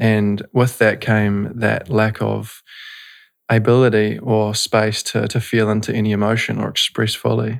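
A man with a New Zealand accent speaks at a fairly slow pace and a fairly low pitch, in a monotone, flat intonation. The recording is very clean, with a silent background. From New Zealand, North Canterbury. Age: 20s. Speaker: breathwork and meditation facilitator. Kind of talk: casual interview. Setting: studio.

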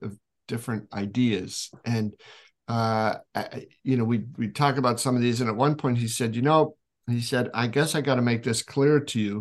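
A man with a plain, everyday voice speaks at a medium pitch and a moderate pace. His pitch varies in an ordinary way against a quiet background. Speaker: video show host. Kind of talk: casual interview chat.

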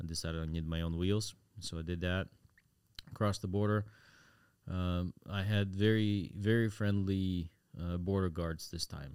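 A man with a very deep, low voice talks at a moderate pace, his intonation fairly even. Long, frequent pauses break up his speech in a very clean recording with a silent background. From Ukraine. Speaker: war volunteer. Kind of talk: casual interview.

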